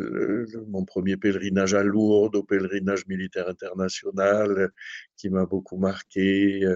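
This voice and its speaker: A man talks in a fairly low voice. His intonation is monotone and flat. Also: fairly slow pace. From southern France. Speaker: priest, shrine rector. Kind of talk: radio interview. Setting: at the shrine.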